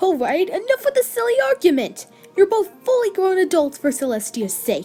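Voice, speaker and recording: A put-on character voice at an extremely high pitch, with very wide pitch swings and a moderate pace. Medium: audio drama. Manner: exasperated, scolding.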